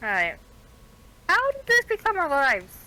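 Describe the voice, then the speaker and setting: In a put-on character voice, a woman squeaks at an extremely high pitch with very wide pitch swings at a moderate pace. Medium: actual play.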